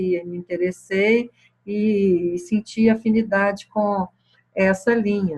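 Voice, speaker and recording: The woman's voice is somewhat breathy. She speaks at a very slow pace. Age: 60s. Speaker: spiritual teacher. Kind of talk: satsang talk answering questions. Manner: hesitant, many fillers.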